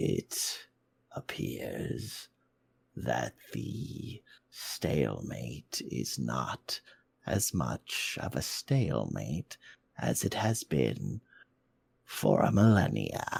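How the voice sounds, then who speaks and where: In a put-on character voice, a man speaks very slowly at a very deep, low pitch with very wide pitch swings. He leaves long, frequent pauses. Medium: actual play. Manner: conversational, conspiratorial.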